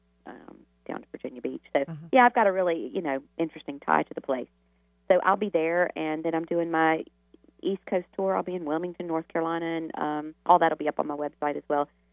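In a Southern US accent, a woman speaks at a fairly low pitch with ordinary pitch variation. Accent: Southern US drawl. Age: 50s. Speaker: author and healer. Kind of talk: radio interview.

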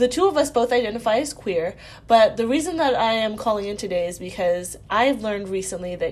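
Fairly quick and fairly high-pitched, a woman talks in an unremarkable speaking voice. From Virginia, US. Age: 20s. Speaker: caller. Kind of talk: recorded voicemail question.

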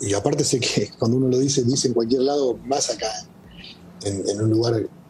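Talking at a very fast pace, a man speaks at a medium pitch with ordinary pitch variation. Noticeable background noise runs underneath. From Argentina. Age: 50s. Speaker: football coach. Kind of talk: interview.

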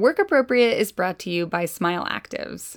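This woman has an ordinary speaking voice, fairly high in pitch with lively intonation. She talks at a moderate pace on a very clean recording with a silent background. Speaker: podcast host. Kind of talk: conversational interview with ad reads.

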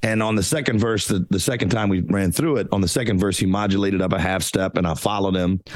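A man talks very fast with hardly any pauses. His pitch is fairly low, with ordinary variation and very even loudness. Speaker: singer. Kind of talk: casual interview chat.

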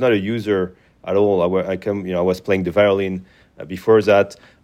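Against a quiet background, a man speaks with a French accent. His pitch is fairly low. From France. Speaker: company founder. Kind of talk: interview. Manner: hesitant, many fillers.

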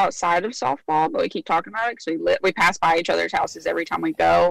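A woman talks at a very fast pace. Her voice has vocal fry. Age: 20s. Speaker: caller. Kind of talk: advice call.

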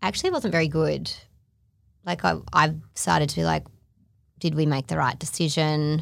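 A woman speaks in an Australian accent. She leaves long, frequent pauses. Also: moderate pace, very clean recording, silent background. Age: 30s. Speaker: podcast host. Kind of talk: casual chat. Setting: studio.

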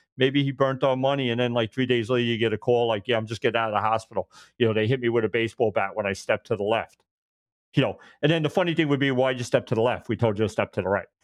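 A man with a Brooklyn accent, medium-pitched, with fairly even intonation at a very fast pace. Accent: New York (Brooklyn). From New York. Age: 50s. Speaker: retired police detective. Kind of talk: casual interview storytelling. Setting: video call, audio only. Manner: fast talker.

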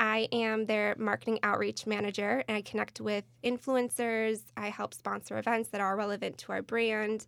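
A woman speaks with an American accent at a moderate pace. Her intonation is monotone and flat. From Michigan, US Midwest. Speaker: crystal company employee. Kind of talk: casual chat.

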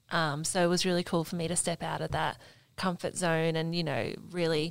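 Vocal fry marks a voice with an Australian accent at a moderate pace. The recording is very clean, with a silent background. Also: woman. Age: 20s. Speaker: athlete and camp helper. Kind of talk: casual chat.

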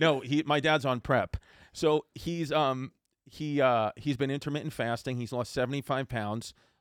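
A man with a New York accent speaks at medium pitch and a moderate pace, his intonation fairly even, in a very clean recording with a silent background and a dry, close sound with no echo. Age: 30s. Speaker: comedian. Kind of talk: casual chat.

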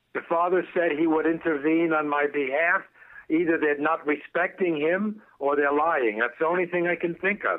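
This is an ordinary speaking voice, a man's at a fairly high pitch. He keeps a moderate pace, fairly even intonation and very even loudness. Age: 60s. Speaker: caller, laid-off telecom worker. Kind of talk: casual chat. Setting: phone call.

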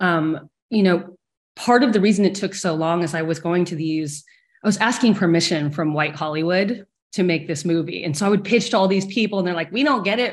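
Over a quiet background, a woman with an American accent speaks at a fairly quick pace in an ordinary speaking voice, fairly low in pitch with ordinary pitch variation. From small-town Texas. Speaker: film director. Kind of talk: panel discussion.

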